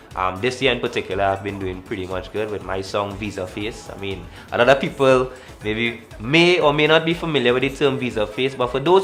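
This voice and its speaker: Music plays behind a man with a Trinidadian accent. His pitch is medium, his pace fairly quick, and his pitch swings very widely. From Trinidad and Tobago. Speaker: calypso and soca musician. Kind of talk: interview answer.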